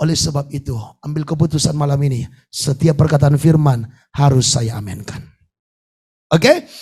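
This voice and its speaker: Somewhat breathy and dark, mellow in tone, a man speaks at a fairly high pitch and a moderate pace, leaving long, frequent pauses. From Indonesia, North Sumatra (Batak). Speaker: pastor. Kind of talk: sermon. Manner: animated.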